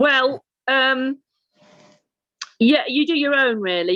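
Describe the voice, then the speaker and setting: At a very slow pace, a raised, projected voice carries lively intonation in a dry, close sound with no echo. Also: woman. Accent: Lancashire. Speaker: actor. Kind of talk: casual chat. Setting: video call.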